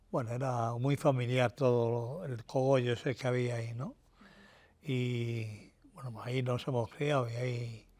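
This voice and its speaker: Delivered at a fairly slow pace, the speech has a monotone, flat intonation. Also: man. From Madrid, Spain (Tetuán). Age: 70s. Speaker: retired car mechanic and workshop manager. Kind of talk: interview, personal reminiscence. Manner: hesitant, many fillers and false starts.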